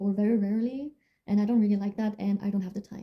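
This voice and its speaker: The voice has a dark, mellow tone, sounds somewhat breathy, and comes in a French accent. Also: woman. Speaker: music student and vlogger. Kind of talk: casual Q&A vlog. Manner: casual, with filler words.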